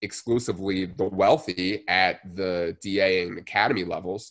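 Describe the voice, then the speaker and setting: With an American accent, a man uses a normal speaking voice at a fairly low pitch and a fairly slow pace. The recording is very clean, with a silent background. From New Jersey. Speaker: physical therapy student and strength coach. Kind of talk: interview.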